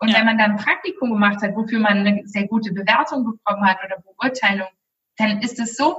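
A woman with a fairly high pitch, a normal speaking voice, and ordinary pitch variation. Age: 20s. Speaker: career and life coach. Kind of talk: interview.

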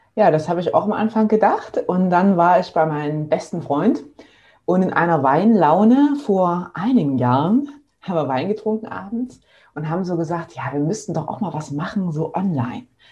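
This woman has a fairly low pitch and a dark, mellow tone, somewhat breathy. Her intonation is lively and her pace moderate. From eastern Germany, near Leipzig. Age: 30s. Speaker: physiotherapist and online entrepreneur. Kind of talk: casual interview.

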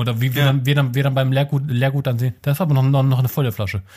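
A man speaks very fast in a fairly high voice. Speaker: podcast co-host. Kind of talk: casual chat. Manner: loud.

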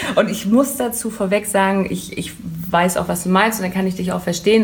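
A woman speaks fairly quickly at a medium pitch. Noticeable background noise and audible room echo fill the recording. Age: 30s. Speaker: hair tool sales rep. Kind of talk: interview. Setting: hair salon boutique.

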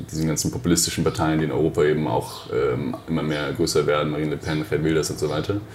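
Audible room echo and noticeable background noise surround a man speaking at a very fast pace with a very deep, low pitch. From Germany, Hesse near Frankfurt. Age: 30s. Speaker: politician, party co-founder. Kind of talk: interview.

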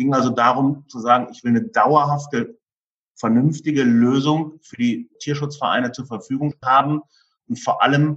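A man has an ordinary speaking voice with a fairly high pitch. He speaks at a moderate pace with ordinary pitch variation. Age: 50s. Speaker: insurance broker. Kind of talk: podcast interview.

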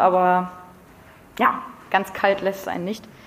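A woman talks at medium pitch. Noticeable background noise runs underneath. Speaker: climate activist and teacher-training student. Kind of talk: lecture.

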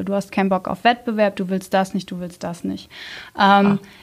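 A woman talks in a normal speaking voice at medium pitch. Her pitch variation is ordinary. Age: 30s. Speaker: team manager. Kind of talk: casual interview.

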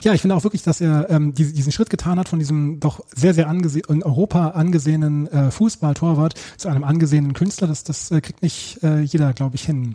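Speaking at a very fast pace, a man uses a dark, mellow tone and a fairly high pitch. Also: ordinary pitch variation. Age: 40s. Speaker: teacher and book author. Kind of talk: interview.

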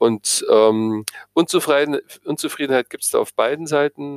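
A man talks at a fairly slow pace. The sound is dry and close with no echo, and the recording is very clean with a silent background. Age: 60s. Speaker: psychotherapist. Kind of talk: interview.

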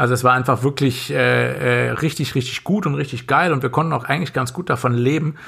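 A man speaks in a bright, sharp tone. His voice has vocal fry. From western Germany, Lower Rhine area near Korschenbroich. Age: 40s. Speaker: doctor. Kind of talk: casual chat. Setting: home studio, remote.

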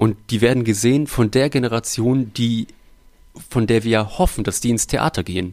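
On a very clean recording with a silent background, a man speaks at a moderate pace with ordinary pitch variation. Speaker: puppeteer and musician. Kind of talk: casual interview chat.

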